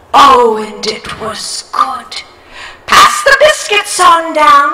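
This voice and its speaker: A woman speaks very slowly in a put-on character voice pitched extremely high, with a clear echo around her. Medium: stage play. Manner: homely, folksy.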